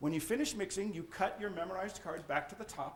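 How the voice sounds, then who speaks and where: Noticeable background noise runs under this recording. A man speaks at a high pitch and a very fast pace. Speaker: magician. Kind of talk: lecture.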